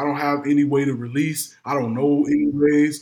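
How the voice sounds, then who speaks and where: An ordinary speaking voice, this man talks at a moderate pace with a fairly high pitch and fairly even intonation. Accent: American. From Madison, Illinois, near St. Louis. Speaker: former pro football player. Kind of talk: interview.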